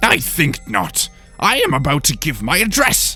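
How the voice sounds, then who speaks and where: Using a put-on character voice, a man speaks at a moderate pace while faint music plays in the background. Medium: audio drama. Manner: pompous, haughty.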